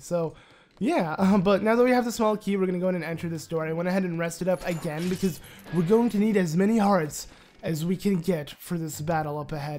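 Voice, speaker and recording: Over music in the background, a man talks in a high pitch. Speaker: let's play gamer. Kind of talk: gameplay commentary.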